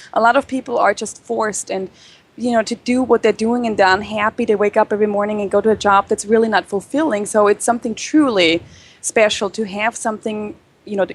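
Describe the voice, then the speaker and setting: A woman with a European accent talks at a very fast pace. Her intonation is fairly even. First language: not English. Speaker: chocolatier, business owner. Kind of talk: interview.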